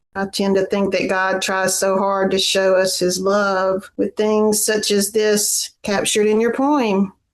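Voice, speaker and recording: With a Southern US accent, a woman speaks at a medium pitch and a fairly slow pace in a monotone, flat intonation, with very even loudness and hardly any pauses. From Tennessee. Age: 60s. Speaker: poet. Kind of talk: prepared remarks; casual chat.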